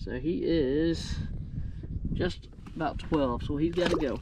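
A man's dark, mellow voice, fairly high in pitch, slow in pace, with ordinary pitch variation over faint background noise

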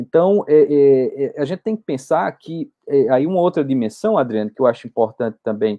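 Very wide pitch swings at a fairly slow pace over a quiet background. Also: man. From Brazil, Pernambuco sertão (Arcoverde); Pernambuco, Brazil. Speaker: history professor. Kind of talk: interview. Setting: online live stream. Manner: halting, many fillers. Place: home room. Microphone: video call.

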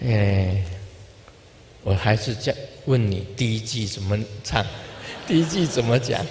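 At a fairly slow pace with long, frequent pauses, the speaker shows ordinary pitch variation over light background noise. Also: man. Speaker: Buddhist spiritual leader. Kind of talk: informal dharma talk to an audience. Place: hall. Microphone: handheld.

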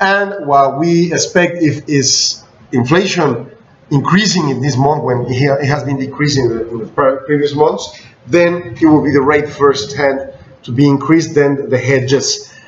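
A man's fairly high voice with a Spanish accent, fairly slow and with ordinary pitch variation, amid light background noise and audible room echo. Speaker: business news blogger. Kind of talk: news bulletin. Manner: halting. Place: office. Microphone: webcam.

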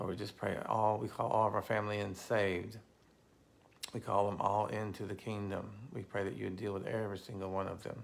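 A man at a fairly quick pace, fairly low in pitch, with monotone, flat intonation. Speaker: pastor. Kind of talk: fervent intercessory prayer. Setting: online video to a live audience of viewers. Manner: earnest, passionate, declaring; informal, chatty. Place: home room. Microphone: phone near.

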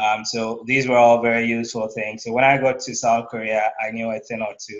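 Over a quiet background, a man speaks at a fairly quick pace. His intonation is monotone and flat. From Ghana (Kumasi). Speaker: data scientist. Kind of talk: interview. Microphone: video call.

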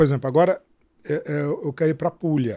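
A man speaks against a quiet background. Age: 60s. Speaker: travel writer and website owner; travel website creator, podcast guest. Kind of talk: interview. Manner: halting, many repetitions. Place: studio. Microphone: studio mic.

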